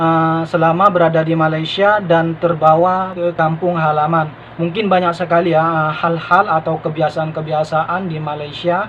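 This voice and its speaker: A man with a high pitch, moderate pace, hardly any pauses and monotone, flat intonation, over noticeable background noise. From Madura, Indonesia. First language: Madurese (speaking Indonesian). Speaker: vlogger, former migrant restaurant worker. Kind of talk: casual vlog monologue. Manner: hesitant, many fillers.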